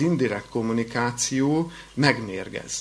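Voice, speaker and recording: Noticeable background noise and audible room echo fill this recording. A man speaks at a very slow pace with lively intonation. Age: 30s. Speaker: pastoral counselor and college lecturer. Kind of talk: lecture. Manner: halting, with repetitions.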